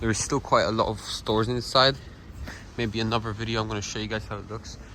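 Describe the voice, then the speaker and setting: Speaking very fast at a medium pitch, a man has a bright, sharp tone, with audible room echo. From Poland, Kalisz area. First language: Polish. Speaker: travel vlogger. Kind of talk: walking vlog narration. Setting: outdoors, walking in winter city. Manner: casual, halting.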